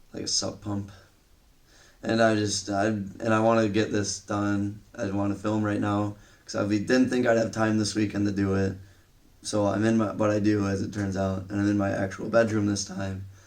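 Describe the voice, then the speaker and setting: A man speaks at a moderate pace with monotone, flat intonation. Audible room echo surrounds his voice. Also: fairly low pitch for a man. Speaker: movie reviewer. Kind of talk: casual vlog review. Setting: home bedroom. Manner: halting, filler words.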